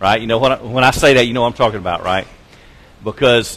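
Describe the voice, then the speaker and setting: Ordinary pitch variation from a man's voice. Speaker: preacher. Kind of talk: sermon. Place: church.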